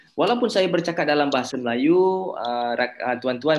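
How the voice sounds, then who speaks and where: Pitched fairly high, a man talks with ordinary variation in his pitch. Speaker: university lecturer. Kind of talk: lecture.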